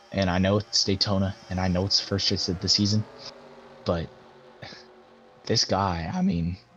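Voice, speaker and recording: A man's very deep, low voice, monotone and flat, at a moderate pace with long, frequent pauses. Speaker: sim racing commentator. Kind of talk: live commentary.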